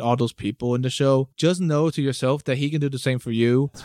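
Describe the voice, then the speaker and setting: The speaker has an American accent and talks at a fairly quick pace with fairly even intonation. The sound is dry and close, with no echo. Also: man. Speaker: university student. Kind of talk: casual chat.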